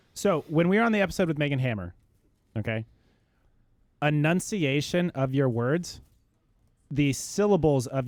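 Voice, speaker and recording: A man with a fairly high voice mumbles at a moderate pace, with lively intonation and long, frequent pauses. The recording is very clean, with a silent background. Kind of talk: podcast talk, reflecting on speech. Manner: mumbling, slurred words.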